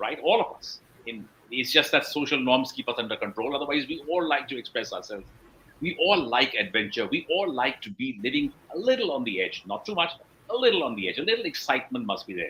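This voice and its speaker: Very fast and full of vocal fry, this man's fairly high-pitched voice has a bright, sharp tone and very wide pitch swings. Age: 60s. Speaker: blockchain entrepreneur and advisor. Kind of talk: interview.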